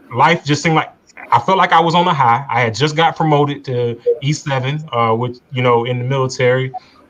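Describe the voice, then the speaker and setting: A man speaks with an American accent at a fairly high pitch. His pitch varies in an ordinary way, and noticeable background noise can be heard. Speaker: army veteran. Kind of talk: testimony. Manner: halting.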